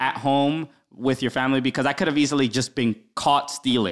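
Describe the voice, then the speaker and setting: With an American accent, a man speaks at a moderate pace and a fairly high pitch. It is a plain, everyday voice. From Brooklyn, New York. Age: 30s. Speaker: comedian. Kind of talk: casual chat.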